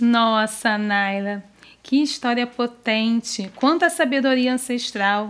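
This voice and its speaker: A woman talks very slowly, her pitch fairly high and its variation ordinary. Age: 30s. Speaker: storyteller. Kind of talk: storytelling for children.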